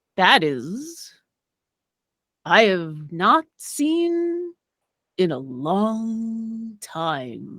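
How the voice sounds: In a put-on character voice, a woman speaks resonantly at a medium pitch, her pitch swinging very widely.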